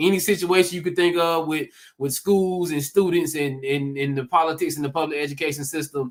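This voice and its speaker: This man has a Southern accent. He talks at a fairly quick pace. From US South, Georgia. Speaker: real estate investor, former teacher. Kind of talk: conference talk. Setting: livestreamed summit. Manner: animated.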